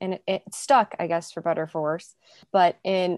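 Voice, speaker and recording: Over a quiet background, a woman in an American accent speaks at a moderate pace with a fairly low pitch. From US Midwest, south suburbs of Chicago. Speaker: music publishing managing editor. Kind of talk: casual interview.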